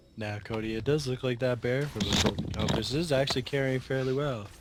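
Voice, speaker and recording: Noticeable background noise sits under this recording. The man speaking uses ordinary pitch variation. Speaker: gaming commentator. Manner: hesitant, halting.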